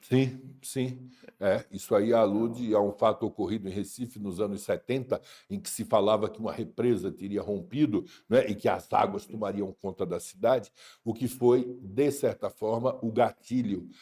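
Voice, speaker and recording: A man speaks at a moderate pace and medium pitch in a dark, mellow tone, with ordinary pitch variation. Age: 60s. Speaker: writer. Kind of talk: interview. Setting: studio. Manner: hesitant fillers.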